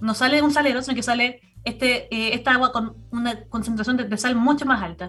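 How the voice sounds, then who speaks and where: Over music in the background, a woman speaks at a fairly quick pace in a high pitch with fairly even intonation. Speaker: environmental commentator. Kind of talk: radio interview. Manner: fast; halting.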